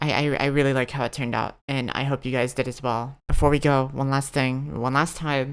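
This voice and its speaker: At a fairly quick pace with hardly any pauses, a woman speaks in a monotone, flat intonation at a very deep, low pitch. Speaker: anime and manga video creator. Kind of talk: video essay. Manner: halting.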